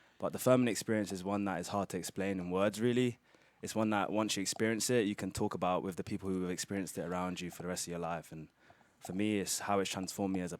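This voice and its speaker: Very deep and low, a man's voice comes in a British accent. He talks at a very fast pace with fairly even intonation. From London, England. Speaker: college soccer player. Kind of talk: interview.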